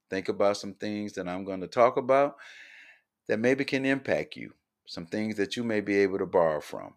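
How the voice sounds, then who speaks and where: A fairly low-pitched man with an American accent, at a moderate pace, with ordinary pitch variation and big swings in loudness, over a quiet background. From US South, Columbia, South Carolina. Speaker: podcast host, social justice advocate. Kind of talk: podcast monologue, promotional introduction.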